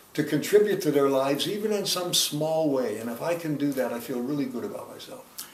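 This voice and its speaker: Over noticeable background noise, a man talks at a very fast pace with hardly any pauses, using lively intonation at a fairly high pitch. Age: 80s+. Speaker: organizational trainer. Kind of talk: interview answer.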